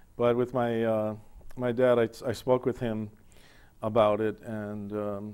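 The man's tone is dark and mellow, his pitch fairly low. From Buffalo, New York. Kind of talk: TV interview. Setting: TV studio. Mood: calm, reflective, personal. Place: studio. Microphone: lapel.

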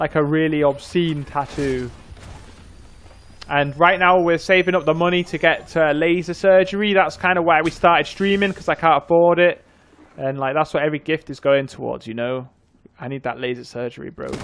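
A man with a Yorkshire accent speaks fairly quickly with ordinary pitch variation. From northern England, North Yorkshire; northern England. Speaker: gaming streamer. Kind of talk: casual livestream chat. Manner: casual, rambling with fillers. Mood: joking, playful. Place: home room. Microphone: studio mic.

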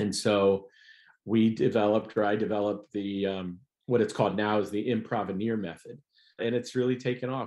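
Speaking with an American accent, a man uses a fairly low pitch and monotone, flat intonation at a moderate pace over a quiet background. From US Midwest. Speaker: comedian. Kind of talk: casual chat.

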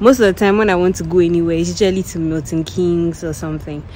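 A woman speaks in an ordinary speaking voice, fairly low in pitch with ordinary pitch variation. The sound is dry with no echo, with light background noise. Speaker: student vlogger. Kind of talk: casual vlog chat. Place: street. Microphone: phone near.

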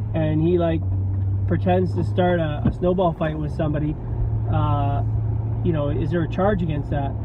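With noticeable background noise and a dry sound with no echo, a man speaks at a moderate pace in a very deep, low voice. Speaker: vlogger. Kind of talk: casual vlog chat. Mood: amused, laughing. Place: car. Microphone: phone near.

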